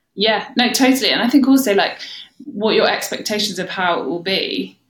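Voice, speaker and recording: A woman talks at a fairly quick pace with lively intonation. It is an ordinary speaking voice. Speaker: coaching client sharing life story. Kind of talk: casual interview.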